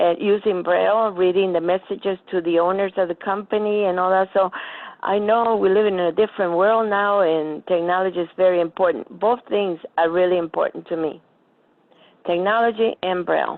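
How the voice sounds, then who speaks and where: A woman with an American accent speaks at a moderate pace in a plain, everyday voice, her medium pitch and fairly even intonation matched by very even loudness. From Florida. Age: 60s. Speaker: blind adult attendee. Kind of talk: casual chat.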